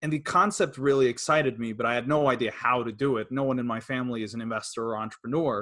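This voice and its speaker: A man with an American accent talks at a fairly quick pace and a medium pitch, with ordinary pitch variation. His tone is bright and sharp against a quiet background. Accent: American-tinged English. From Sweden. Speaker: property investor. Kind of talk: interview. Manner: hesitant.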